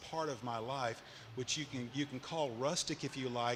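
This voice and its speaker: A man speaks with an Arkansas accent. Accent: Southern US (Arkansas). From Arkansas, Little Rock and Cleburne County. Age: 60s. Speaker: entrepreneur. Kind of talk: onstage interview. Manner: halting.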